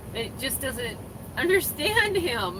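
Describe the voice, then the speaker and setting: Amid noticeable background noise and audible room echo, a woman with a Minnesotan accent speaks at a fairly slow pace. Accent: Minnesota. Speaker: truck driver and trainer. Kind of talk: livestream chat with viewers. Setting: live stream from a coffee shop. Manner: casual, filler-heavy.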